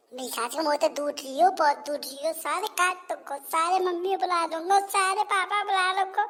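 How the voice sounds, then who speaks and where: In a cartoonish character voice, the speaker goes at a moderate pace with an extremely high pitch over light background noise. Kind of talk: cartoon comedy dialogue.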